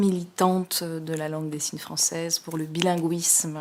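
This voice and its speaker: A woman at a fairly slow pace. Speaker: sign language interpreter. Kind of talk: testimony. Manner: halting, many hesitations.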